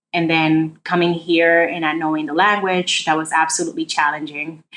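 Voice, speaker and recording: With a Spanish accent, a woman speaks in a fairly low pitch with fairly even intonation. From Dominican Republic, moved to the Bronx at 10-11. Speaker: state official, former prosecutor. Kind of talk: interview.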